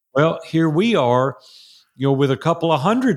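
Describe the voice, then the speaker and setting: A man speaks with a Tennessee accent. The recording is very clean, with a silent background. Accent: Southern US (Tennessee). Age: 60s. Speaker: entrepreneur and mastermind coach. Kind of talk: interview. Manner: animated.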